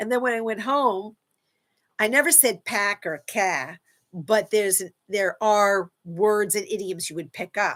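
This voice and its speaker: With an American accent, the speaker talks at a fairly slow pace with lively intonation on a very clean recording with a silent background. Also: woman, medium pitch for a woman. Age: 60s. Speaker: live-stream host, self-help speaker. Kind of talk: casual live-stream talk. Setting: live stream.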